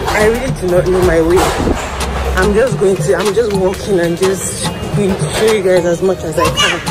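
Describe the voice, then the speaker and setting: Music plays loudly behind the voice. The delivery keeps a moderate speed. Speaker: vlogger. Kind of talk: casual vlog chat. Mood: excited, curious. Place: market. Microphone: phone near.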